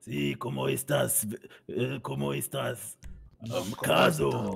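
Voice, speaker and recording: Using a put-on character voice, a man speaks at a very deep, low pitch with very wide pitch swings. His pace is very slow. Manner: swaggering, playful.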